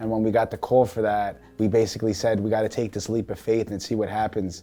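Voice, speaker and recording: A man with a New York accent talks very fast in a fairly low pitch. His intonation is monotone and flat, with music in the background. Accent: New York, Staten Island. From Staten Island, New York. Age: 20s. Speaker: reality show contestant. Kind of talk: interview answers.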